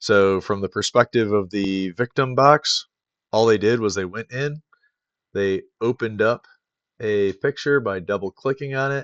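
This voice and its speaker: With an ordinary speaking voice, a man talks at a fairly slow pace and medium pitch, with ordinary pitch variation, in a dry, close sound with no echo. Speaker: cybersecurity tutorial maker. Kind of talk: tutorial.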